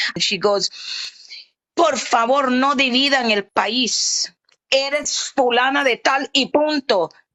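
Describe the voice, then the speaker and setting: A woman speaks with a Caribbean accent. Her tone is animated. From Honduras, Afro-Honduran Caribbean coast. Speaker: livestream guest. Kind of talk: casual chat.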